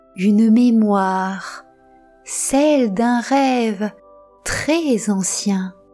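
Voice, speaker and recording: Music plays behind a woman speaking in a calm, soothing tone at a fairly high pitch with ordinary pitch variation. Her pace is very slow, with long, frequent pauses. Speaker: storyteller. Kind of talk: sleep story.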